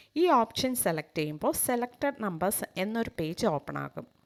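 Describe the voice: A woman speaks at a moderate pace and medium pitch with vocal fry. Her intonation is lively.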